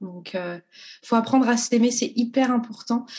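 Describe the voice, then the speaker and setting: Against a quiet background, a woman talks very slowly in a somewhat breathy voice with a dark, mellow tone and ordinary pitch variation. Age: 30s. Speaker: school nurse. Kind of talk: testimony.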